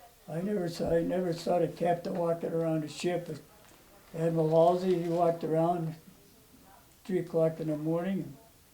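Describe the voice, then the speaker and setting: Noticeable background noise sits behind a man with a high pitch. He speaks at a moderate pace with monotone, flat intonation. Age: 90s. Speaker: war veteran. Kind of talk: oral history interview. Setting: at home.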